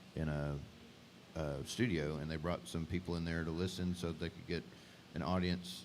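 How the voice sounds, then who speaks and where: A man speaks with an East Texas accent and a very deep, low pitch. His moderate pace and fairly even intonation are broken by long, frequent pauses. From Northeast Texas (Beckville). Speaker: singer-songwriter. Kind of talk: casual chat.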